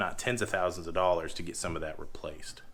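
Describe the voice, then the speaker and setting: The speech moves at a fairly quick pace with fairly even intonation, and audible room echo surrounds it. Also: man. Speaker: homestead farmer. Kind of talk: casual vlog talk.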